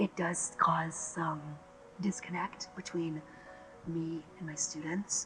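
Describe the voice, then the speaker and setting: Very slow speech with music in the background. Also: man. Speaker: college dance student. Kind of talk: documentary interview. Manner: effortful speech, breathing difficulty.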